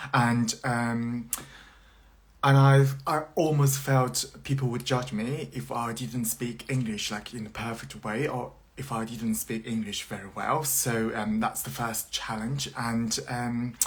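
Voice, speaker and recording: Man at medium pitch, a very slow pace, and noticeable background noise. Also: ordinary pitch variation. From China. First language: Mandarin Chinese. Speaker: university lecturer. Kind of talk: live social media chat. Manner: halting with many fillers.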